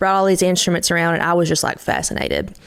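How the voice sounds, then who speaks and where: In a Kentucky accent, a woman speaks with monotone, flat intonation. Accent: Kentucky twang. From Eastern Kentucky. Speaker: country singer-songwriter. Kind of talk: interview conversation.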